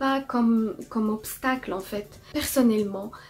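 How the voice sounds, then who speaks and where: Noticeable background noise sits behind a woman's fairly high voice. She talks at a fairly slow pace with fairly even intonation. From Morocco. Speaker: artist. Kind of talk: testimony with tips.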